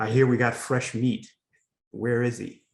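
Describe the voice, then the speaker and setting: In a put-on character voice, a man booms out gruff, monotone lines at a moderate pace and medium pitch. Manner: domineering, gruff.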